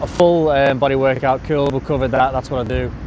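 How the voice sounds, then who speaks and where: Over noticeable background noise, a man with an English accent speaks at a fairly quick pace. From England. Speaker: personal trainer and podcast host. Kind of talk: casual monologue. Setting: outdoors at a beach. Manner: rambling, easily distracted.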